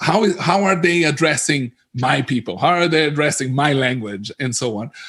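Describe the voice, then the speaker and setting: A man with a Portuguese accent, fairly high in pitch, lively in intonation, at a moderate pace. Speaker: localization industry analyst. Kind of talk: panel discussion. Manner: halting, many repetitions.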